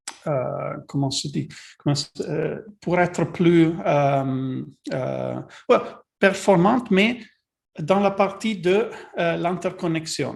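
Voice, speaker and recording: A man with a non-native accent speaks at a very slow pace, with long, frequent pauses. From Italy. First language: Italian (speaking French). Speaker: technical advisor presenting a webinar. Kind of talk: webinar presentation. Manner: halting, many fillers and repetitions.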